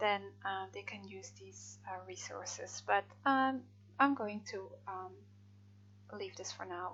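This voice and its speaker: Someone with a Dutch accent talks at a fairly slow pace, with long, frequent pauses and big swings in loudness. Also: woman. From Netherlands. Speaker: freelance translator. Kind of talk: software tutorial. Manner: hesitant, many fillers.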